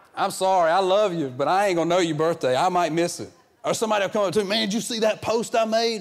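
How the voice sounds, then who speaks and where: This man speaks with a Southern US accent. His pitch varies in an ordinary way. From US South. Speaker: guest preacher filling in for the pastor. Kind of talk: sermon. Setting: church service with congregation.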